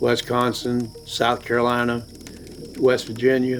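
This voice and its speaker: A man at a very slow pace, with monotone, flat intonation and music in the background. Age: 60s. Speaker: bigfoot hunter. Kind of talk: casual interview.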